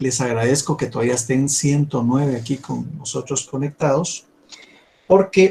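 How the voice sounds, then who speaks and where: At a fairly slow pace, a man with a fairly high pitch speaks in a dark, mellow, somewhat breathy tone with ordinary pitch variation. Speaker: university law professor. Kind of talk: lecture.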